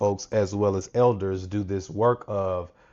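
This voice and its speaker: A man speaks very slowly in a Mississippi accent. His pitch sits fairly low, with fairly even intonation. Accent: Southern US (Mississippi). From US South, Natchez, Mississippi. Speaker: author and educator. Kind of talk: interview conversation.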